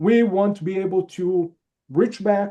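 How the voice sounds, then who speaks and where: With a non-native accent, a man speaks in a high pitch and a dark, mellow tone. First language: not English. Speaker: security conference reviewer. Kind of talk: webinar panel talk.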